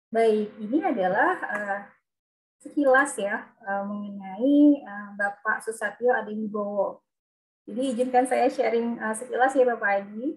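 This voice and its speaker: In a normal speaking voice, a woman with a fairly high pitch and ordinary pitch variation talks at a fairly slow pace. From Lampung, Indonesia. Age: 30s. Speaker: webinar moderator, occupational safety engineer. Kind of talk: moderating online seminar.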